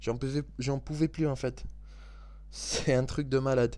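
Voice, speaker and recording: A man talks at a fairly slow pace. Behind him the background is silent, in a very clean recording. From Scotland and England. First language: English (speaking French). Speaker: football video commentator. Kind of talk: angry football debrief monologue. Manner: halting, stumbling over words; animated.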